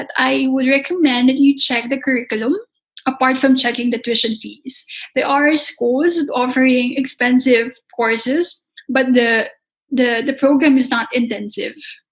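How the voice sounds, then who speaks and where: A woman with a Filipino accent speaks in a high pitch with fairly even intonation. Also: moderate pace. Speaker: pastry chef and culinary instructor. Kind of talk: interview.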